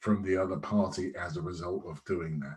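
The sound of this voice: His pitch shifts by typical amounts. The man keeps a moderate speed.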